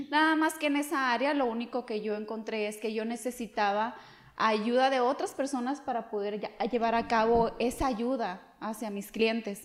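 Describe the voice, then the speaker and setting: A woman's fairly high-pitched voice, a plain, everyday voice, with ordinary pitch variation and a moderate pace. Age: 30s. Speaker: insurance agent. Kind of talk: podcast interview.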